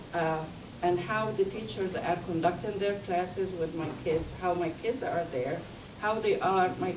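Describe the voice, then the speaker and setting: A woman with a fairly low pitch is heard amid noticeable background noise and audible room echo. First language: not English. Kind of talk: talk to an audience. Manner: halting.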